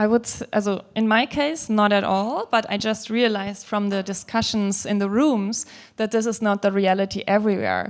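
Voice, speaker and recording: A woman with a German accent, medium pitch and fairly even intonation, in a very clean recording with a silent background. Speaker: people/HR leader on a panel. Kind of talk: panel discussion.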